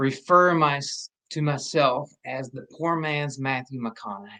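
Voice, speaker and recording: A man speaks with a slight Southern US accent. His tone is bright and sharp. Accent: slight Southern twang. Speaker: actor. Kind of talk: casual chat.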